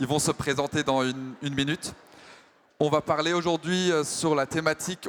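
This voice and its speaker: This man talks at a moderate pace. His intonation is monotone and flat. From Germany. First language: German (speaking French). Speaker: panel moderator, tech company executive. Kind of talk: conference panel moderation. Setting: stage with audience at trade show. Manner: hesitant, many fillers.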